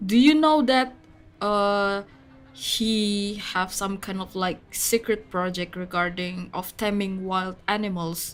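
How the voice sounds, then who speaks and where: A woman speaks very slowly in an Indonesian accent, her pitch medium with ordinary variation. Music plays in the background. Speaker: VTuber game streamer. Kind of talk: gaming livestream chat.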